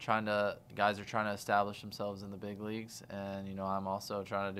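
A man with a fairly low pitch talks at a fairly quick pace in monotone, flat intonation, with light background noise. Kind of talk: interview answer. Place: room. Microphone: studio mic.

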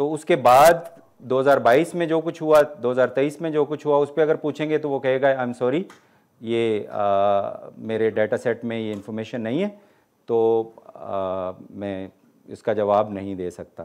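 A man speaks at a fairly slow pace with lively intonation and long, frequent pauses. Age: 50s. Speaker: college English professor giving a talk. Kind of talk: lecture with audience Q&A. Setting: hall with live audience. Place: hall.

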